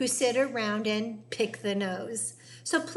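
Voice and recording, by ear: Here a passage is read aloud. The delivery is in a natural voice.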